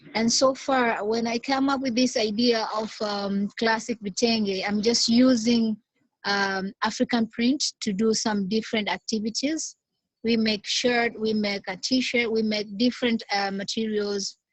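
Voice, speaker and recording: A woman speaks fairly slowly at a fairly high pitch, somewhat breathy. Her intonation stays fairly even. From Tanzania. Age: young. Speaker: small business founder. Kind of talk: video call discussion. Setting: video call. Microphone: unstable network connection.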